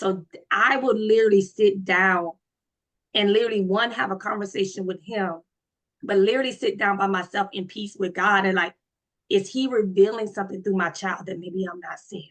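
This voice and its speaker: With an American accent, a woman of medium pitch talks at a moderate pace, her intonation fairly even but her loudness swinging widely. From US South, Florida. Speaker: panel participant. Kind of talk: group discussion.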